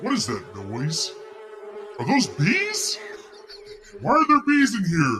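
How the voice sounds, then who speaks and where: Over clear background noise, a man puts on a robotic character voice and speaks at a fairly slow pace. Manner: theatrical, panicked.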